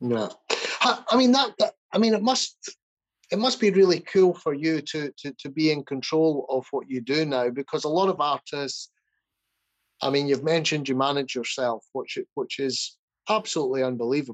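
Fairly high in pitch, a man speaks in an ordinary speaking voice. He keeps a moderate pace with lively intonation. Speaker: podcast host and producer. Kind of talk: casual interview chat.

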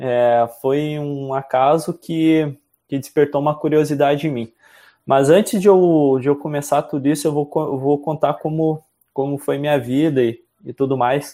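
A dark, mellow tone at a fairly slow pace, with fairly even intonation, on a very clean recording with a silent background. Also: man, fairly high pitch for a man. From southern Brazil, Rio Grande do Sul (Carazinho). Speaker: podcast guest, self-development student. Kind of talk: casual chat.

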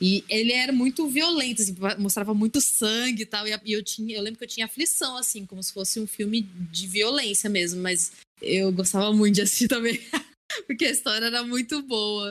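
A woman's fairly high-pitched, fairly quick delivery with ordinary pitch variation, an ordinary speaking voice. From Brazil, Assis (São Paulo state). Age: 30s. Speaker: podcast guest. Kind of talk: casual chat.

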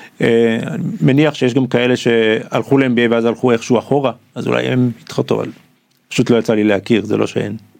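A man speaks at a medium pitch and moderate pace, with a normal speaking voice. His intonation stays fairly even. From Israel. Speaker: product manager. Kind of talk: interview conversation. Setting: studio.

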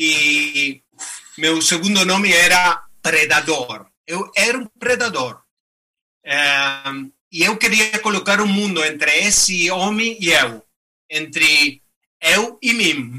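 A man's high voice in a Spanish accent, very slow with long, frequent pauses and lively intonation. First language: Spanish (speaking Portuguese). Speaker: ultramarathon runner and activist. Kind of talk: motivational talk.

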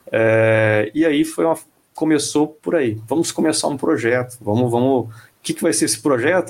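A man's plain, everyday voice at a moderate pace with ordinary pitch variation. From Brazil, Mato Grosso. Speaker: e-commerce committee founder. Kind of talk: interview. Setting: live online stream.

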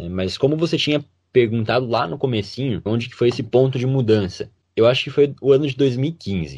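A man speaks at a fairly quick pace in a somewhat breathy voice. His loudness swings a great deal. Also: medium pitch for a man, ordinary pitch variation, quiet background. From western Santa Catarina, Brazil. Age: young. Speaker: medical student. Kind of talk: interview.

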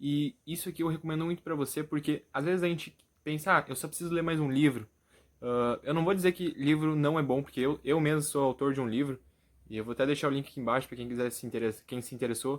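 A man's fairly high voice at a very fast pace with ordinary pitch variation, in a very clean recording with a silent background. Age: 20s. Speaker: youtuber and motivational content creator. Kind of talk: motivational vlog address to camera.

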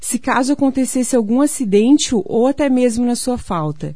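Moving at a moderate pace with ordinary pitch variation, a woman speaks in a high pitch with a dark, mellow tone. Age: 30s. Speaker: pension fund sales agent. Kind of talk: sales pitch on radio. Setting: radio studio.

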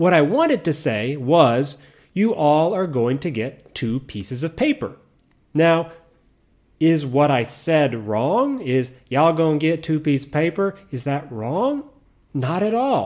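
Speaking with an American accent, a man uses lively intonation and a fairly high pitch at a fairly slow pace. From US South and Midwest. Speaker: podcast host and English teacher in Japan. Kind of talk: educational monologue for English learners.

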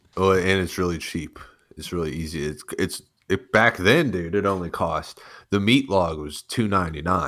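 Someone with an American accent talks at a moderate pace with ordinary pitch variation. The recording is very clean, with a silent background. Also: man, very deep, low pitch for a man. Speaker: online troll. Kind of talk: casual banter. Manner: joking, sarcastic, profane.

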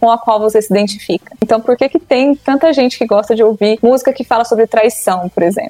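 Noticeable background noise sits behind a woman speaking. Her pitch is high, with ordinary pitch variation. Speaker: psychologist. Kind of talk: casual interview chat.

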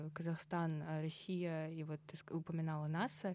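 The voice has a dark, mellow tone, captured in a very clean recording against a silent background. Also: woman. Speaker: student podcast host. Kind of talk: casual interview. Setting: studio.

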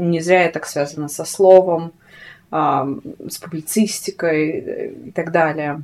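A woman is speaking very slowly. Her intonation stays fairly even. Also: fairly low pitch for a woman. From Siberia, Krasnoyarsk. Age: 30s. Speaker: fashion writer and spiritual practitioner. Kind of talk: casual interview. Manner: talkative.

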